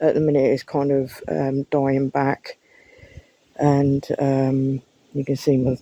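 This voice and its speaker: A woman's very deep, low pitch and dark, mellow tone, dry and close with no echo. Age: 30s. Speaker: gardening vlogger. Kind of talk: casual walk-through vlog. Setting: outdoors in garden. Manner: casual, hesitant with many ums.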